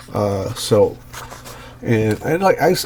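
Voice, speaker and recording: A man speaks with very wide pitch swings while noticeable background noise is present. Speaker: comic art commentator. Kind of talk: casual talk to camera. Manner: hesitant, many fillers.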